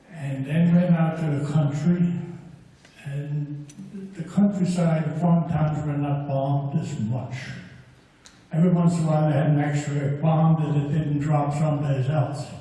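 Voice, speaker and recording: A man with a fairly high pitch and monotone, flat intonation at a fairly slow pace, amid noticeable background noise and audible room echo. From Germany, Mannheim. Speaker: former paratrooper, war witness. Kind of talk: personal testimony. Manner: unprepared.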